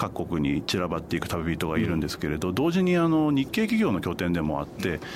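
A man speaks at a very fast pace, his pitch swinging very widely. Noticeable background noise runs under his voice. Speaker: Asia travel writer. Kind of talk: radio interview.

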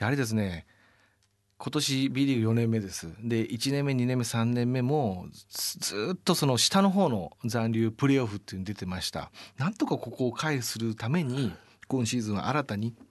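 A man talks at a moderate pace in a normal speaking voice, his pitch medium and his intonation lively. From Japan, Yamaguchi Prefecture. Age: 40s. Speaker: sports team executive. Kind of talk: radio interview. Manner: polite formal.

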